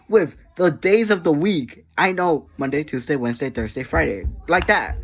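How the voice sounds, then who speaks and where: Music plays in the background. The speaking pace is moderate. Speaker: small YouTuber. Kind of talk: casual vlog monologue. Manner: energetic.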